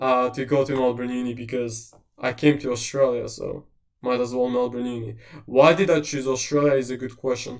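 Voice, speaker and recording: At a fairly quick pace, a man with an Eastern European accent speaks at a medium pitch in a monotone, flat intonation, with audible room echo. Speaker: university tutor/presenter. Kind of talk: lecture Q&A. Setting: livestream. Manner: casual.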